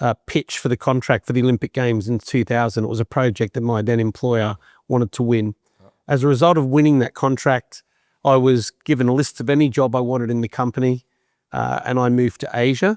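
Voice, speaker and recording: In an Australian accent, a man talks at a fairly quick pace with medium pitch and fairly even intonation. The sound is dry and close with no echo, in a very clean recording with a silent background. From Australia, Sydney. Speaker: business executive. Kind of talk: interview.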